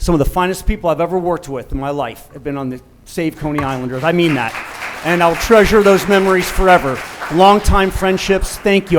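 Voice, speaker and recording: A man with an American accent, high in pitch, at a fairly quick pace with ordinary pitch variation, crowd noise in the background. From US Midwest, Cincinnati east side. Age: 60s. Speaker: pediatrician, public commenter. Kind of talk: public comment. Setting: public meeting with audience. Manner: halting.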